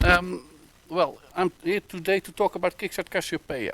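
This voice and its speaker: A man with a Dutch accent at a fairly slow pace, in a dry, close sound with no echo. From Netherlands. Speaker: web developer. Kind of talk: conference talk. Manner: halting, many fillers.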